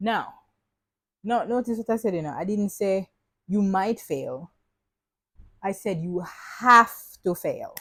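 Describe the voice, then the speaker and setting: In a Jamaican accent, a woman speaks with an animated tone and lively intonation at a fairly slow pace, with long, frequent pauses. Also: medium pitch for a woman. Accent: Jamaican English, switching into patois. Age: young. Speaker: podcast host. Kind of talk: casual motivational monologue. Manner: animated, chatty.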